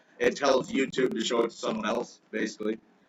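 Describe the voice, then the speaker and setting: A man speaks over noticeable background noise. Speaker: crypto livestream host. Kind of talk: casual livestream chat. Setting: live stream. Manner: hesitant, many filler words.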